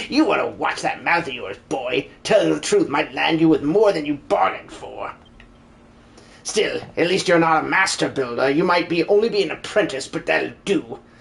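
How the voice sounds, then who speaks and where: A man speaks in a put-on character voice with a high pitch. His pace is moderate. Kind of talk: live-stream game dub.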